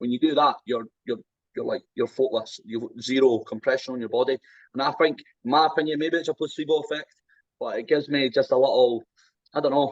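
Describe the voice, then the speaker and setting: A man with an Edinburgh accent talks at a fairly quick pace. He leaves long, frequent pauses. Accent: Scottish (Edinburgh). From Scotland, Edinburgh. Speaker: strongman athlete. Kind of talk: casual chat.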